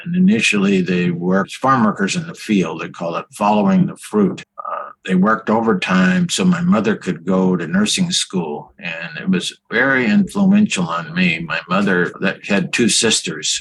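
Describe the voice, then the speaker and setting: With a Californian accent, a man talks at a fairly slow pace with hardly any pauses. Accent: Californian American. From California, Bakersfield. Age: 80s+. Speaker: physician. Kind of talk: interview.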